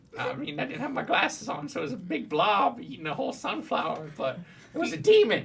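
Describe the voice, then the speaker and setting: This is a put-on character voice, fairly high and delivered at a very fast pace with very wide pitch swings. Clear background noise runs behind it. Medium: actual play. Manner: blunt, cranky, cussing.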